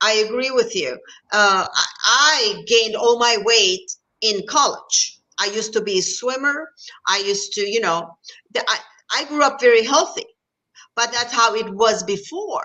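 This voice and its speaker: With a Turkish accent, a woman talks at a moderate pace and a fairly high pitch, her intonation lively. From Turkey. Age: 50s. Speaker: fitness coach. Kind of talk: casual chat.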